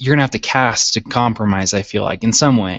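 At a fairly quick pace, a man talks in a plain, everyday voice, medium in pitch with ordinary pitch variation. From Utah, US. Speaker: PHP website developer. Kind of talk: casual technical discussion.

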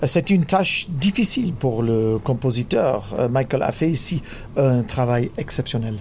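A man of medium pitch talks at a fairly slow pace with lively intonation. His loudness stays very even against noticeable background noise. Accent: British. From England. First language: English (speaking French). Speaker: orchestra conductor. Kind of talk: recorded interview. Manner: hesitant.

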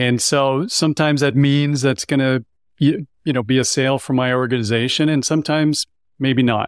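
With a Canadian accent, a man speaks in an unremarkable speaking voice at a medium pitch, keeping a fairly quick pace, fairly even intonation and very even loudness, in a dry, close sound with no echo. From Canada. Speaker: sales coach. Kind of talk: roundtable discussion.

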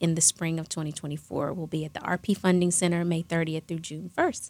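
With a plain, everyday voice, a woman at a fairly low pitch speaks at a fairly quick pace in a very clean recording with a silent background. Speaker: charity foundation staffer. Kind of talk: casual interview chat.

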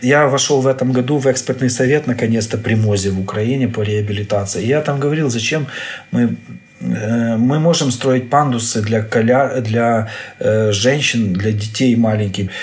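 Through noticeable background noise, a man talks at medium pitch and a moderate pace. His pitch varies in an ordinary way. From Ukraine. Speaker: neurosurgeon. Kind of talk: interview. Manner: hesitant, with filler sounds.

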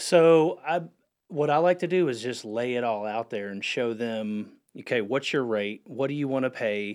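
A plain, everyday voice with an American accent and ordinary pitch variation goes at a moderate pace on a very clean recording with a silent background. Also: man. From North Carolina, Huntersville (Lake Norman area). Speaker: real estate broker. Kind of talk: radio interview.

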